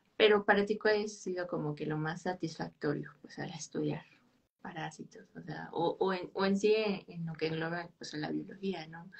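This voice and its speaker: At a moderate pace, a woman speaks with big swings in loudness. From Mexico. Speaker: podcast host, biologist; podcast host. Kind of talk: interview. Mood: warm, friendly.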